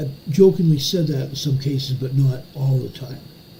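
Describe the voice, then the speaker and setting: Someone speaks at a moderate pace with fairly even intonation, with audible room echo around the voice. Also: man. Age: 60s. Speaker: emergency news commentator, retired police officer. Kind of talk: live stream commentary. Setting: home office live stream. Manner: casual.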